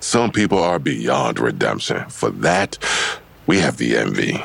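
A man uses a put-on character voice pitched extremely low, with vocal fry, a slightly husky edge, a fairly bright tone and big swings in pitch. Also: fairly slow pace.

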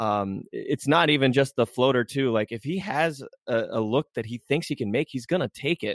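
At a moderate pace, a man speaks at medium pitch in a plain, everyday voice with ordinary pitch variation. The sound is dry and close with no echo, on a very clean recording with a silent background. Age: 20s. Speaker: basketball writer. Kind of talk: casual chat.

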